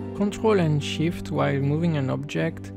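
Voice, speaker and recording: Music sounds in the background. A man with a non-native accent speaks at a fairly high pitch. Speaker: game developer. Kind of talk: software tutorial narration.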